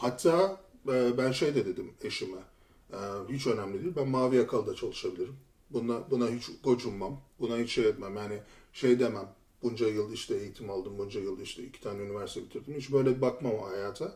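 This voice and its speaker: A man speaks at a fairly quick pace with a medium pitch. His voice is somewhat breathy, and his pitch varies in an ordinary way. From Turkey, Istanbul. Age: 40s. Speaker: former lawyer turned IT tester. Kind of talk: podcast interview.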